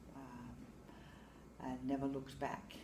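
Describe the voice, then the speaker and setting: In a room with audible echo, a woman talks at a very slow pace. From Samoa. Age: 60s. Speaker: teacher. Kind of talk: interview. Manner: hesitant, many fillers.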